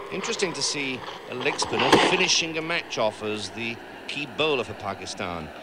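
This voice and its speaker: Over noticeable background noise, a man with a medium-pitched voice speaks with very wide pitch swings. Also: moderate pace. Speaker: cricket commentator. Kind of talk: live commentary. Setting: commentary box at the ground. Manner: animated.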